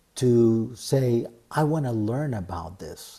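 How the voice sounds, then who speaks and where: The voice has a dark, mellow tone and sounds somewhat breathy. It carries a Spanish accent with ordinary pitch variation. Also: man. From Argentina. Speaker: Tibetan yoga teacher. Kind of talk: interview. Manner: halting.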